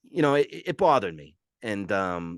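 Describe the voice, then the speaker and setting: With an American accent, a man speaks in an unremarkable speaking voice, fairly low in pitch and lively in intonation, with a dry, close sound, no echo and a quiet background. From New Jersey. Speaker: military veteran. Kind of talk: casual interview chat.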